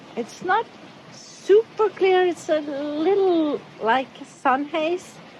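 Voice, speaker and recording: A woman with an extremely high pitch and lively intonation speaks at a very slow pace over noticeable background noise. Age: middle-aged. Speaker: sailing vlogger. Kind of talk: casual vlog narration. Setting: outdoors on a sailboat.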